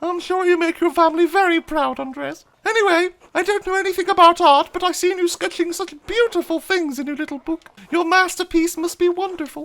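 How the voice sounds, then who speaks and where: Putting on a character voice, a woman squeaks at an extremely high pitch, talking fairly quickly with fairly even intonation. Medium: solo performance. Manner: warm, gentle.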